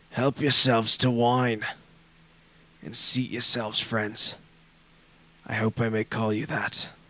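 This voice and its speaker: A man puts on a raspy character voice at a medium pitch, flat and monotone. He talks fairly slowly, with long, frequent pauses. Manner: welcoming, hospitable.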